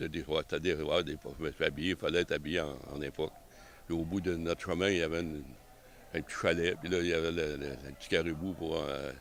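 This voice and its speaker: Speaking at a very fast pace, a man with a very deep, low pitch keeps his intonation monotone and flat. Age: 70s. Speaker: member of a historical arquebus association. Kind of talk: casual interview. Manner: halting, with many repetitions.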